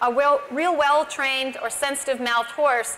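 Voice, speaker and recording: Against light background noise, a woman uses a raised, projected voice at a moderate pace with fairly even intonation. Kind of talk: lecture. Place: stage. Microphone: lapel.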